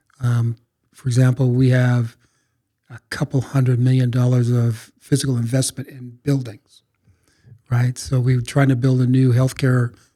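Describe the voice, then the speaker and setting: With a dark, mellow tone and a somewhat breathy quality, a man speaks at medium pitch and moderate pace in a flat monotone, his loudness swinging a lot. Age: 60s. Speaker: college president. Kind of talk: podcast interview. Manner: halting, repeats words.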